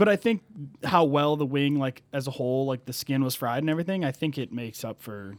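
Recorded in a dry, close sound with no echo, a man with an ordinary speaking voice talks at medium pitch and a fairly quick pace. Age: 20s. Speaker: podcast co-host. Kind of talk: casual chat.

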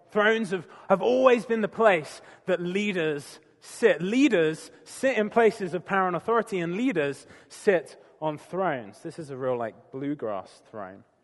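A man with a British accent, high-pitched, with very wide pitch swings at a fairly slow pace. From Britain. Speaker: preacher. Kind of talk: sermon.

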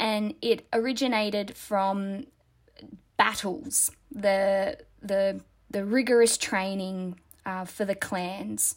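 A woman with an Australian accent, medium-pitched, at a very slow pace with fairly even intonation and long, frequent pauses. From Australia, New South Wales. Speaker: dancer. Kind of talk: casual chat.

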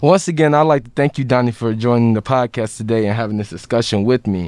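A man with an American accent and a plain, everyday voice, at medium pitch with ordinary pitch variation and a fairly quick pace, in a dry, close sound with no echo and a very clean recording with a silent background. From Chicago. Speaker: student podcast host. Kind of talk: interview.

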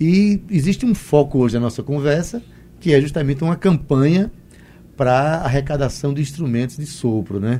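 Somewhat breathy and dark, mellow in tone, this man's voice sits at a fairly high pitch. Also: lively intonation, moderate pace. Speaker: radio host. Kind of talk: radio interview. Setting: studio.

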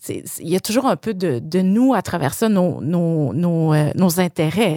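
With lively intonation, a woman with a fairly low pitch talks very slowly, her sound dry and close with no echo. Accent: Quebec. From Quebec City suburbs, Quebec. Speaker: exhibition curator. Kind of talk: casual interview conversation.

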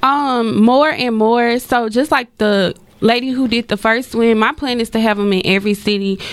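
A woman with an American accent talks at a moderate pace in a fairly high pitch. Her intonation is fairly even, and it is a plain, everyday voice. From Dallas, Texas. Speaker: small business owner. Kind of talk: radio interview. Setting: radio studio.

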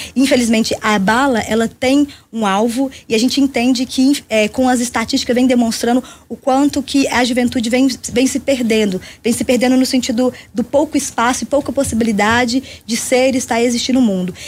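A woman talks fairly quickly at a high pitch, her intonation fairly even. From Brazil, Belo Horizonte (Minas Gerais). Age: 40s. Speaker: party leader and social movement activist. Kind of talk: radio interview.

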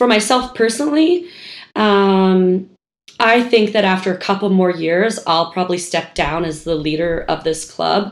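A woman talks fairly slowly with ordinary pitch variation. Hers is a normal speaking voice. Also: medium pitch for a woman. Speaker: skateboard club founder. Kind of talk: casual chat.

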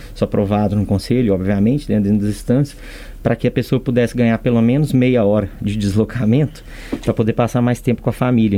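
A very fast man's voice at medium pitch with fairly even intonation, over noticeable background noise. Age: 40s. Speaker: state company president. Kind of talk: interview. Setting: studio. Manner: halting, frequent fillers.

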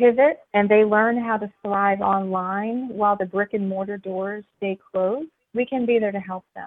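An unremarkable speaking voice from a woman with an American accent, medium-pitched, at a fairly slow pace with ordinary pitch variation. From US, small town. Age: 40s. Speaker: business founder. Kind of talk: interview.

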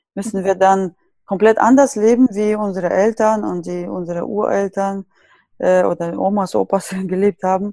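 Speaking at a fairly slow pace with a Russian accent, a woman of medium pitch has a dark, mellow tone and fairly even intonation, recorded dry and close with no echo. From Siberia, Russia. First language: Russian (speaking German). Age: 30s. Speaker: natural skincare blogger. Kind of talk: casual interview.

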